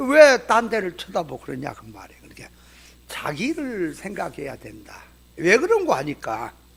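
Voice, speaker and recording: A man with a high pitch talks at a moderate pace, his pitch swinging very widely and his loudness rising and falling sharply. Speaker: pastor. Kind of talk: sermon-style lecture to pastors. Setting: church seminar. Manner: colloquial, emphatic.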